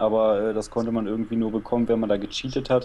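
A man speaks in a dark, mellow tone. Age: 20s. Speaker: former video game podcaster. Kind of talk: casual chat.

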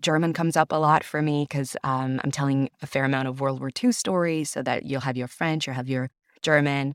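A woman at a fairly quick pace, very deep and low in pitch, animated in tone, on a very clean recording with a silent background. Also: dry, close sound with no echo. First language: Italian. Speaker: audiobook narrator and theater director. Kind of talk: casual interview chat. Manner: animated, talkative.

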